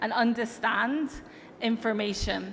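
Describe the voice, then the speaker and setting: A woman with an American accent talks at a fairly slow pace in a fairly high pitch. Her intonation stays fairly even over noticeable background noise. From Europe. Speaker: tech company executive. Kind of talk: conference keynote speech. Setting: stage with audience.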